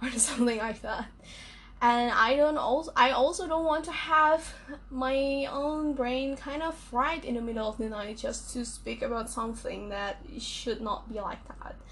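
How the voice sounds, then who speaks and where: A woman's high voice with an Indonesian accent, at a moderate pace and with ordinary pitch variation. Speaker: podcaster. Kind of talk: solo podcast monologue. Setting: at night.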